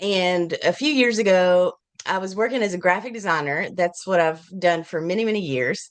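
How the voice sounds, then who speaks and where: A woman with an Appalachian accent at medium pitch, ordinary pitch variation and a moderate pace. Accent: Appalachian Southern US. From US South, Appalachian Virginia. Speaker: children's book author and illustrator. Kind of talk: interview. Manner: animated; halting.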